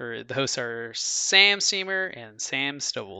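Very slowly, a man talks with lively intonation. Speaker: podcast guest. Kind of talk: casual chat.

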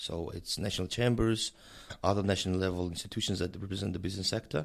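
A man with a Mongolian accent speaks at a very deep, low pitch. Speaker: director of an intergovernmental organization. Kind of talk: interview. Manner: halting, many fillers.

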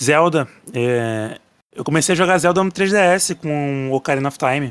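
A man speaks at a fairly slow pace and a fairly high pitch with ordinary pitch variation, in an unremarkable speaking voice. The recording is very clean, with a silent background. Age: 20s. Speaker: podcast listener. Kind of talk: casual chat.

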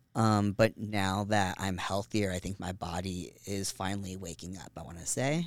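In a very clean recording with a silent background, a man with a fairly low pitch and a normal speaking voice talks at a moderate pace with hardly any pauses, fairly even intonation, and big swings in loudness. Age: 30s. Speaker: podcast guest. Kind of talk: casual chat. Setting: studio.

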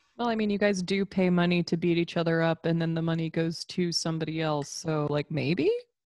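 An ordinary speaking voice moves at a fairly quick pace with hardly any pauses, fairly even intonation, and a dry, close sound with no echo. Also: woman, fairly low pitch for a woman. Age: 20s. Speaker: podcast co-host. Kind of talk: casual chat.

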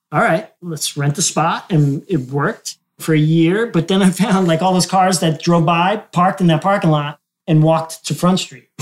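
Here a man with an American accent talks at a moderate pace. His pitch is high and his intonation fairly even. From New Jersey. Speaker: photographer and gallery owner. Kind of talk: casual chat. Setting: in a photo gallery.

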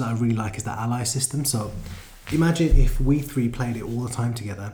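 A man's medium-pitched voice at a very fast pace with ordinary pitch variation and audible room echo. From London. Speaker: gaming podcast co-host. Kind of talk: casual chat.

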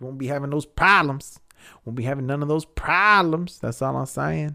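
With an American accent, a man talks at a moderate pace in a fairly high pitch. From Texas. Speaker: podcast host. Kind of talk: casual solo monologue. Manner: relaxed, many fillers and laughs.

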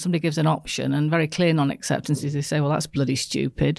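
Very fast speech from a woman with a slight northern English accent. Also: very clean recording, silent background. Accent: northern English, soft. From northern England. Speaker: business coach and speaker. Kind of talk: casual interview chat. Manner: warm, laughs often.

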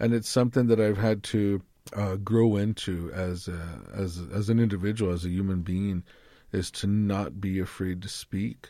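In a very clean recording with a silent background, a man with an American accent speaks at a moderate pace, his fairly low voice dark and mellow with fairly even intonation. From Arizona, Tucson (Yaqui tribe). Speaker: classical guitarist and motivational speaker. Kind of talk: interview conversation. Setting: studio.

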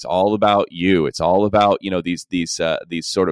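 Here is a man with a plain, everyday voice. His pitch is fairly low and his intonation fairly even. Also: dry, close sound with no echo. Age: 40s. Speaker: pastor. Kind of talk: interview.

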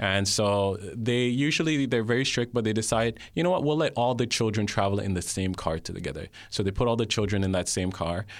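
A man with a fairly low pitch, an unremarkable speaking voice and lively intonation at a fairly quick pace, on a very clean recording with a silent background. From Jamaica (Kingston), then Canada from age nine. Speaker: guest sharing faith testimony. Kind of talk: testimony. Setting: studio.

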